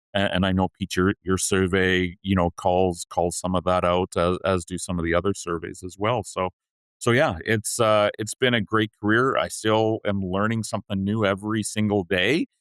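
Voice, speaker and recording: A man with a Canadian accent talks at a fairly low pitch with fairly even intonation and hardly any pauses. The sound is dry and close with no echo, and the background is quiet. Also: moderate pace. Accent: very Canadian. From Canada. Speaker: payroll leader. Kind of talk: podcast interview.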